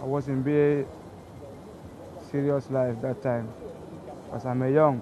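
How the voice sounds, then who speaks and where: Over noticeable background noise, a man of medium pitch talks at a fairly slow pace with long, frequent pauses and fairly even intonation. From Gambia. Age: young. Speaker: migrant football player. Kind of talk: documentary interview.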